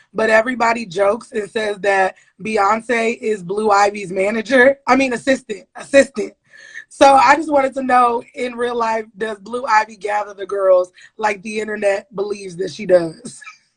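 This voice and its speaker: A woman with a plain, everyday voice speaks at a moderate pace and fairly high pitch, using ordinary pitch variation. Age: 20s. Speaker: interviewer. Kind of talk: interview. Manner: casual, slangy.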